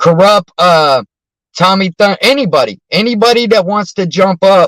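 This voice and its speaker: Shouting, a man uses a high pitch with ordinary pitch variation. His pace is fairly slow, and the sound is dry and close with no echo. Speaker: live streamer. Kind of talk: casual live stream chat. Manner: loud, yells at the phone; loud.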